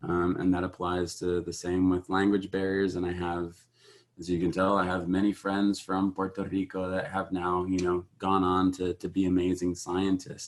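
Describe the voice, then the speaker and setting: A man's very deep, low voice in a monotone, flat delivery over a quiet background. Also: moderate pace. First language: Spanish. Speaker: graduate researcher panelist. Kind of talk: panel discussion.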